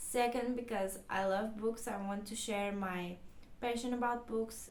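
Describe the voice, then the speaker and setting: Speaking with a Portuguese accent, a woman uses a fairly high pitch and monotone, flat intonation. She talks at a fairly slow pace, with audible room echo. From Portugal. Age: 20s. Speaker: book vlogger. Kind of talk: casual vlog talk. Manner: halting.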